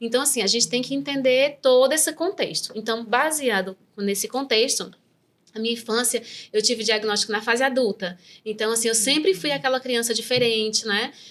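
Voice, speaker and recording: A woman speaks at a fairly quick pace in a fairly high pitch with ordinary pitch variation. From Brazil, Northeast interior. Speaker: neuropsychopedagogue. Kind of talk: interview, personal testimony.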